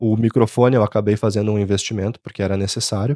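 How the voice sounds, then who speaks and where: In a southern Brazilian accent, a man talks at a very fast pace, with a dry, close sound, no echo and a quiet background. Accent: gaúcho. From southern Brazil, Rio Grande do Sul. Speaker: content creator. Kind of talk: vlog monologue. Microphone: new microphone.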